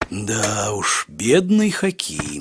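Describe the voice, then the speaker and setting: A man puts on a cartoonish character voice with a fairly low pitch. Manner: curious, chatty.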